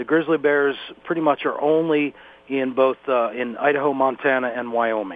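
At a medium pitch, the man has a normal speaking voice. His tempo is moderate and his pitch varies in an ordinary way. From northeast Pennsylvania. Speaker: wildlife center staff, bear product tester. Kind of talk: interview.

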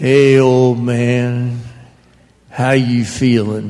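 Here a man uses a put-on character voice at medium pitch. His intonation is monotone and flat. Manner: casual, blunt.

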